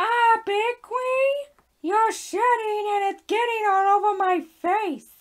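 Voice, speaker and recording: In a cartoonish character voice, the speaker talks at a fairly slow pace with an extremely high pitch. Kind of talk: comedy puppet skit.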